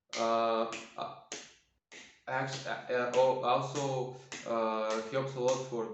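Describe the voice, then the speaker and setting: A man's voice carries audible room echo. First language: not English. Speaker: self-healing practice demonstrator. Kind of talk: tutorial. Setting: at home, quiet for neighbors. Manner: halting.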